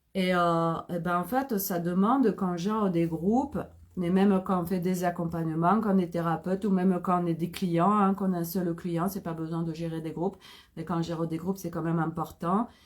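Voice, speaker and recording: Fairly even intonation marks a woman's fairly low voice as she talks at a moderate pace. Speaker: holistic therapist. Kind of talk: live stream talk.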